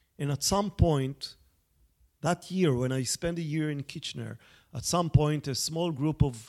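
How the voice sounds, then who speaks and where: The delivery is at a fairly slow pace with ordinary pitch variation. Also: man. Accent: Israeli. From Israel. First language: Hebrew. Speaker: journalist and author. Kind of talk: interview conversation. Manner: hesitant, many fillers.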